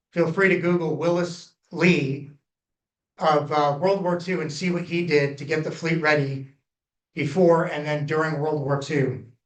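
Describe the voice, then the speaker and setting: With audible room echo, a man talks at a fairly slow pace in a fairly high, monotone, flat voice. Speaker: former nuclear reactor operator, public inquiry presenter. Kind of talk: public hearing testimony. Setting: public hearing with audience.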